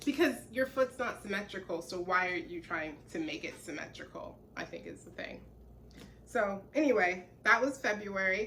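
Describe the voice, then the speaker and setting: A woman speaks in a normal speaking voice at medium pitch and a moderate pace. Her intonation is lively, and her loudness swings a lot. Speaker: knitting podcaster. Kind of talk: casual chat.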